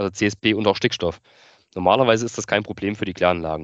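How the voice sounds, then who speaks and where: Heard in a dry, close recording with no echo, a man talks with fairly even intonation. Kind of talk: expert interview.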